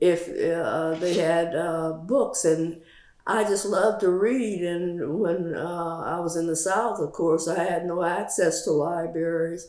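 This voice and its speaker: A woman with an American accent talks very slowly in a fairly low voice, her intonation fairly even. Noticeable background noise runs behind her. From Louisiana, USA. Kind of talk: interview answer.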